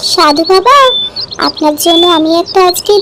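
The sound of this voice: A woman puts on a cartoonish character voice at an extremely high pitch. Clear background noise is present.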